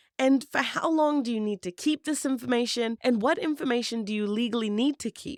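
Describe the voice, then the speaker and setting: In a very clean recording with a silent background, a woman speaks at a moderate pace with a New Zealand accent, the sound dry and close with no echo. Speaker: employment law podcast host. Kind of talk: podcast talk.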